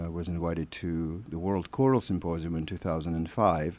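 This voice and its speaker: A man with a Russian accent speaks fairly slowly in a very deep, low voice. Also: very clean recording, silent background. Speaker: choir artistic director. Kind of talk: radio interview. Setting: studio. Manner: halting.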